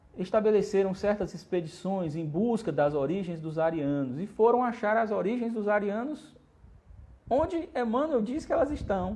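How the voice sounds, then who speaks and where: A man speaks with a dark, mellow tone at a high pitch, his pitch swinging very widely. Room echo is audible. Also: moderate pace. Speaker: spiritist lecturer. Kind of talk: lecture. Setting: livestream.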